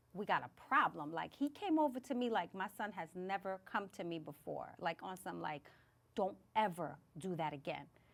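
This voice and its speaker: A woman speaks loudly at a moderate pace in a medium pitch, with vocal fry. Her tone is animated and her pitch swings very widely. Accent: New York. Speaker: podcast host. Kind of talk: casual chat.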